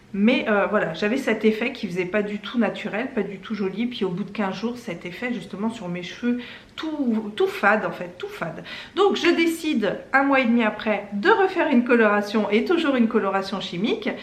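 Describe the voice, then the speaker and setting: Heard with audible room echo and noticeable background noise, a woman with a fairly high pitch speaks at a moderate pace with ordinary pitch variation. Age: 40s. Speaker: lifestyle YouTuber. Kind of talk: casual vlog testimony and product tutorial. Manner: hesitant, many fillers.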